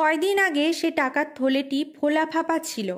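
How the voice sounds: The recording is very clean, with a silent background. A woman speaks at a moderate pace.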